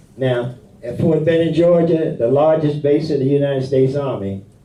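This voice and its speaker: Somewhat breathy, with a dark, mellow tone, a man with an American accent speaks at a moderate pace in a fairly high pitch with ordinary pitch variation. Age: 80s+. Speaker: war veteran. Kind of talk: speech to senior center audience. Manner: halting.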